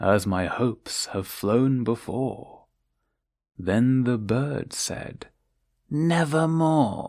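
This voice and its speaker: The voice has a dark, mellow tone and a British accent. It moves at a very slow pace with lively intonation. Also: man. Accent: British, received pronunciation. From England. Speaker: narrator. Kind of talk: poetry reading. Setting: home recording. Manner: slow, calming.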